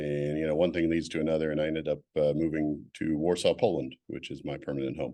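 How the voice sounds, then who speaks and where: At a very fast pace, a man with an American accent speaks in a very deep, low pitch with a dark, mellow tone. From California, US. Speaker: admissions consultant. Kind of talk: interview. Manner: hesitant, many fillers.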